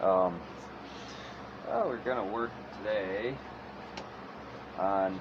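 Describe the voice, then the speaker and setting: In a room with audible echo, a man speaks at a fairly slow pace with fairly even intonation. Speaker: chainsaw wood carver. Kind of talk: tutorial. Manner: halting, trips over words.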